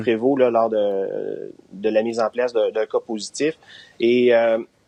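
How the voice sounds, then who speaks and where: The speech moves very slowly in a flat monotone. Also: man, medium pitch for a man. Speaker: residence deputy director. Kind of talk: interview answer.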